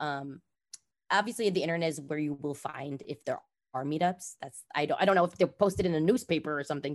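In a very clean recording with a silent background, a woman with a Californian accent talks at a very fast pace, her very deep, low pitch showing ordinary variation. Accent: Californian American. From Los Angeles, California. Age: 30s. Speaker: roller skater and influencer. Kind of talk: casual interview. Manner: animated.

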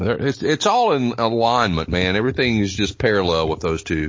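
This man has an unremarkable speaking voice. His pitch sits fairly low. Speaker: wrestling podcast co-host. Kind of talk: casual comedic banter.

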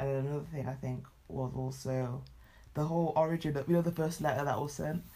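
A British accent at a fairly quick pace. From Britain, Nigerian heritage. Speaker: podcast co-host. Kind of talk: casual chat. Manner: fast, with many fillers and restarts.

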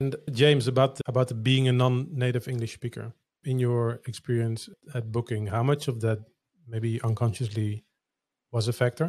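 A man with a Dutch accent speaks at a moderate pace and medium pitch, somewhat breathy, with fairly even intonation. The recording is very clean with a silent background. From Netherlands.

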